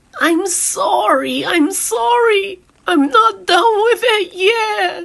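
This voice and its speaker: Using a put-on character voice, a woman speaks at a very slow pace with an extremely high pitch and very wide pitch swings. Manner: apologetic, frightened.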